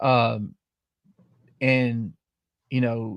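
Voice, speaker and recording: A man with a Southern US accent and a medium pitch speaks with fairly even intonation, in a dry, close sound with no echo on a very clean recording with a silent background. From southern middle Tennessee. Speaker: podcast host. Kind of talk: casual live-stream chat.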